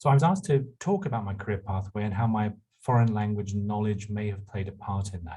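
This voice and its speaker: A man with a London accent, fairly low-pitched, somewhat breathy and dark, mellow in tone, at a fairly quick pace with ordinary pitch variation. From England, London. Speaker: university administrator. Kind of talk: panel talk.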